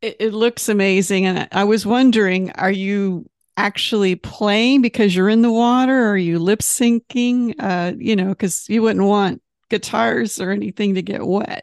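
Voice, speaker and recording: A woman of medium pitch speaks at a moderate pace in an unremarkable speaking voice with fairly even intonation. The sound is dry and close with no echo. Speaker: magazine interviewer. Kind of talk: casual interview chat.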